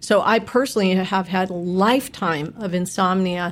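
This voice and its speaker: Fairly even intonation comes through in a very clean recording with a silent background. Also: woman. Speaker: supplement company founder. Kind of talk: interview. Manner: clear explanatory.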